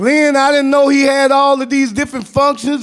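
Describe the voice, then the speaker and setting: A man with a Southern US accent speaks in an animated tone at a moderate pace. His pitch is extremely high for a man. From US South. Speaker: activist, formerly incarcerated advocate. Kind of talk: panel talk. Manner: animated, storytelling.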